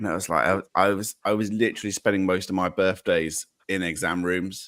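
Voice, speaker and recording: On a very clean recording with a silent background, a man with an English accent talks at a fairly quick pace in a very deep, low pitch, the sound dry and close with no echo. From England. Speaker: podcaster. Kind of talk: casual chat. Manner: halting.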